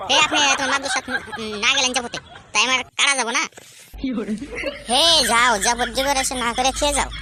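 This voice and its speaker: A cartoonish character voice, high in pitch, at a fairly quick pace. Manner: cheeky, rustic dialect.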